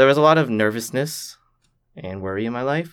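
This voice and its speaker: A man with a Canadian accent and an ordinary speaking voice talks at a fairly quick pace with ordinary pitch variation. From Canada. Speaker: student. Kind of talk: interview. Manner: reflective.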